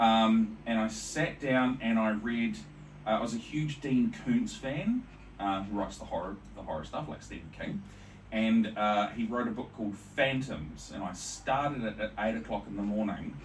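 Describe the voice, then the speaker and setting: A man with a New Zealand accent at a medium pitch, ordinary pitch variation and a moderate pace, with audible room echo. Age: 40s. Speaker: podcast host. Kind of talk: interview.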